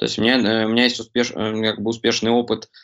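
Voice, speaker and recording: Vocal fry runs through this man's medium-pitched voice. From Ukraine, Kremenchuk (Poltava region). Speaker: product designer. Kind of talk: casual interview. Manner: halting, many fillers and restarts.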